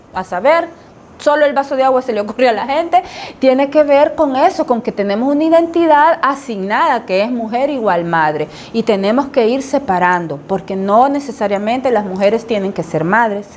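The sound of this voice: At a moderate pace and with few pauses, a woman speaks with lively intonation, a fairly high pitch, and a slightly mellow tone.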